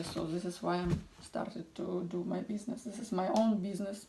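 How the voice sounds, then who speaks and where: A woman with a non-native accent talks in a fairly even intonation over noticeable background noise. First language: not English. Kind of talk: tutorial. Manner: halting.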